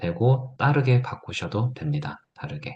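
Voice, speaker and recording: A somewhat breathy man at a moderate pace against a quiet background. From Gyeongsang province, South Korea (Gyeongju). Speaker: teacher / edtech seminar instructor. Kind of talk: tutorial.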